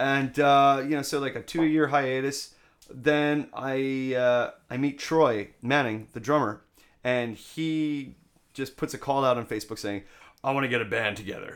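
A man speaks at a fairly slow pace in a plain, everyday voice. His pitch is medium, his intonation fairly even, and the recording is very clean with a silent background. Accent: Canadian. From Canada, Ottawa. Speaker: English teacher and rock singer. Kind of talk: casual chat. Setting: host's apartment.

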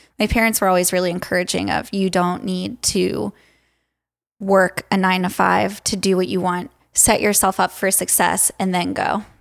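In a plain, everyday voice, a woman speaks at medium pitch and a moderate pace with fairly even intonation. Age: 30s. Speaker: photographer and wedding venue owner. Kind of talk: casual interview. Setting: on location at her venue.

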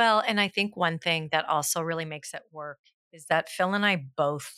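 A woman with a Californian accent has a very deep, low pitch and a bright, sharp tone. She speaks at a moderate pace with ordinary pitch variation on a very clean recording with a silent background. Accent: Californian American. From Southern California (South Pasadena). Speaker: fitness trainer and gym owner. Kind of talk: casual interview.

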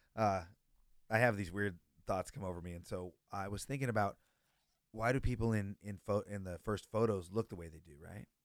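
A man with a fairly low pitch talks at a fairly quick pace in an ordinary speaking voice, with ordinary pitch variation and big swings in loudness, in a very clean recording with a silent background. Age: 50s. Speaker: podcast host. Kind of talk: casual chat.

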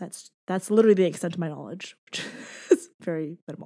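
Doing a raspy, put-on character voice, a woman speaks at a medium pitch and a fairly quick pace, with ordinary pitch variation and big swings in loudness.

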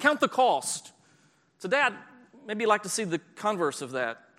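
With a Southern US accent, a man projects a raised voice in a bright, sharp tone. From US South. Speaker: preacher. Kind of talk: sermon. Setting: church.

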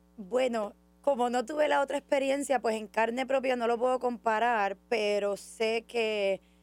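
A woman with an unremarkable speaking voice talks at a fairly high pitch and a fairly slow pace. Her pitch varies in an ordinary way, and the sound is dry and close with no echo. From Puerto Rico, Orocovis. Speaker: artist, co-founder of an arts collective. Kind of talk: interview.

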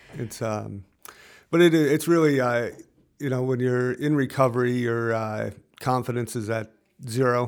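A moderate pace in an American accent, fairly even intonation with long, frequent pauses, on a very clean recording with a silent background. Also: man, medium pitch for a man. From upstate New York, Lake George area. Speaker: nonprofit founder, recovery cycling. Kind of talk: interview. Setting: in person. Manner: halting, many fillers.

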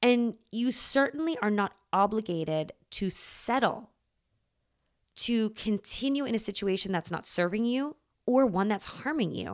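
With a normal speaking voice, a woman talks at a fairly slow pace, her pitch fairly high. Her intonation is lively, and the recording is very clean with a silent background. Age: 40s. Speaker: podcast host and self-care coach. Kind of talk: solo podcast monologue. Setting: at home. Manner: casual, laughs often.

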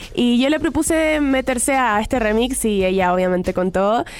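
Noticeable background noise can be heard as the woman talks. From Chile. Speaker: pop singer. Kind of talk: interview. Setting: radio studio.

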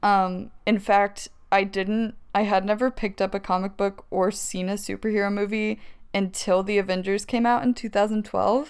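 A woman's medium-pitched voice with an American accent, monotone and flat, at a moderate pace, in a very clean recording over a silent background. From US South, Tennessee (Maryville). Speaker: filmmaker. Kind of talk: casual chat.

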